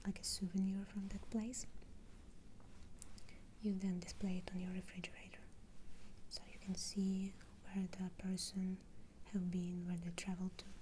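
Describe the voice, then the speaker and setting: The speech has long, frequent pauses and noticeable background noise. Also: moderate pace. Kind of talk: ASMR over-explaining, soft-spoken relaxation talk. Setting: studio microphone ASMR recording.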